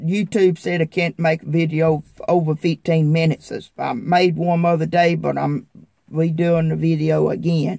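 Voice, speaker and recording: A man in a Southern US accent speaks at a moderate pace with a fairly high pitch, a dark, mellow tone and monotone, flat intonation, in a dry, close sound with no echo. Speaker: farmer vlogger. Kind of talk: casual vlog talk.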